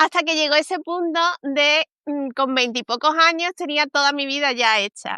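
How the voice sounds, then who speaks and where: Raising and projecting her voice, a woman with a Castilian accent speaks at a moderate pace in a high pitch with ordinary pitch variation, her tone bright and sharp in a dry, close sound with no echo. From Spain. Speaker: communications consultant. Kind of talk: interview. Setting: livestream.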